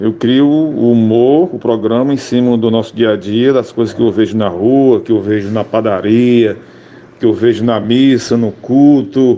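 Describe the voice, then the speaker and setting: Over noticeable background noise, a man speaks at a medium pitch with ordinary pitch variation and very even loudness. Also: fairly slow pace. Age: 60s. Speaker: radio comedian. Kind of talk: interview.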